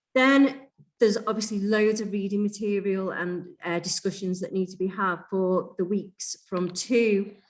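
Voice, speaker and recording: Here is a woman with an unremarkable speaking voice, a medium pitch and fairly even intonation. She speaks at a fairly slow pace, with big swings in loudness. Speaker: teacher trainer. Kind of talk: online training session.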